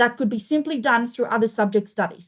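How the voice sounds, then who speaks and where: A woman with a high pitch and a non-native accent speaks with lively intonation. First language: not English. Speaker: school careers pathways presenter. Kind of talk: informational presentation.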